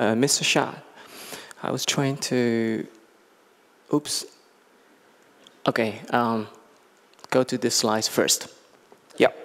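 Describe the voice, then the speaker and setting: A man with a Chinese accent speaks at a very slow pace, leaving long, frequent pauses. His pitch is medium, with fairly even intonation. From China. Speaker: business executive. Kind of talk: conference talk. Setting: stage with audience. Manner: halting, many fillers.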